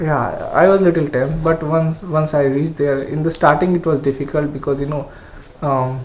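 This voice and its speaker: Over noticeable background noise, a man with an Indian accent speaks at a moderate pace in a fairly high, monotone voice with flat intonation. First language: Hindi. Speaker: engineering graduate student. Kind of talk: podcast interview. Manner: hesitant, many fillers.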